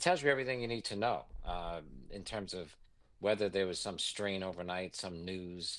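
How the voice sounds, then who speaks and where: The speech comes in a New York accent at a moderate pace with ordinary pitch variation. The background is quiet. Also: man, very deep, low pitch for a man. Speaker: investment executive. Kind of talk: interview.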